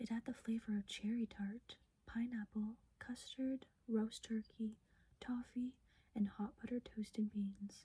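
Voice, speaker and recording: The voice is soft-spoken. Its pace is fairly slow. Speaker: ASMR creator. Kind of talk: sleep story.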